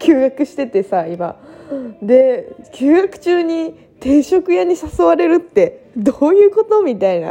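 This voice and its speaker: Over noticeable background noise, a woman with a high pitch speaks at a fairly slow pace, her voice moving in very wide pitch swings. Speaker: solo podcaster. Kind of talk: casual monologue. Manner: laughs often while talking.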